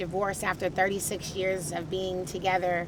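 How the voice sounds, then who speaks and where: Over noticeable background noise, a woman talks at a moderate pace in a medium-pitched voice. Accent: American. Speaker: startup founder. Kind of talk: storytelling talk. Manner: conversational.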